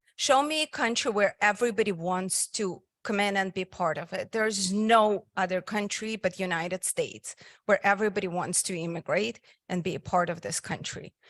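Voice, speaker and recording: Captured in a very clean recording with a silent background and a dry, close sound without echo, a woman of medium pitch speaks at a moderate pace with ordinary pitch variation. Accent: strong Russian. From Soviet Union (Russia). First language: Russian. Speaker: physical therapist and nonprofit founder. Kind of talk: invited talk. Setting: meeting hall with live audience.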